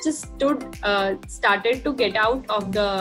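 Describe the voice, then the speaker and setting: Clear music plays in the background. A woman speaks at a moderate pace with ordinary pitch variation. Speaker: interview guest. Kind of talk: interview answer. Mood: animated storytelling. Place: home room. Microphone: webcam.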